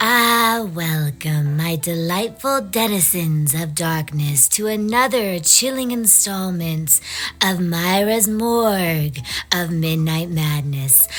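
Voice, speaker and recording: Over background music, a woman uses a put-on character voice with a fairly low pitch at a fairly slow pace. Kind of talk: horror podcast intro. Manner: theatrical, relishing.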